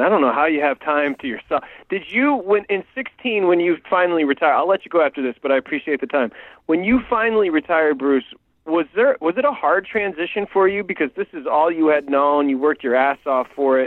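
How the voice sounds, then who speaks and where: Here is a man with an American accent and an ordinary speaking voice, pitched fairly high. He talks at a fairly quick pace with lively intonation. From Michigan. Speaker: sports radio host. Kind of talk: radio interview.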